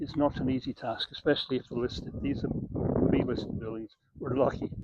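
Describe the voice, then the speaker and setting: A man with a Scottish accent speaks with fairly even intonation. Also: medium pitch for a man, fairly quick pace. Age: 60s. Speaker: property developer. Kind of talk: casual talk to camera. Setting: outdoors by the beach. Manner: hesitant, many fillers.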